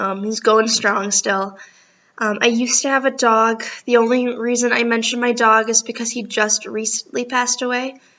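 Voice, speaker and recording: Her pitch is fairly high and her intonation monotone and flat. This woman speaks with an American accent. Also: moderate pace. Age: 20s. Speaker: college student. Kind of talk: self-introduction video for class. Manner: hesitant, many ums.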